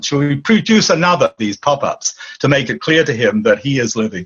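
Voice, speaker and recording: A somewhat breathy man speaks in an Australian accent. His pitch swings very widely. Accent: Anglo-Australian. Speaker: author and dream teacher. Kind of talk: interview.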